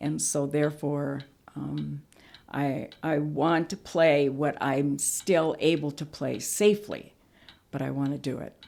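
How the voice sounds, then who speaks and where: Her pitch very deep and low, a woman speaks at a fairly slow pace with fairly even intonation in a very clean recording with a silent background. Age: 70s. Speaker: senior athlete. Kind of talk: interview testimony.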